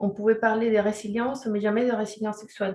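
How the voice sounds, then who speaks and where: Somewhat breathy, a woman with a fairly high pitch speaks in a dark, mellow tone. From Chile. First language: Spanish (speaking French). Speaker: sexology and resilience counselor. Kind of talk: webinar presentation. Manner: hesitant, many fillers.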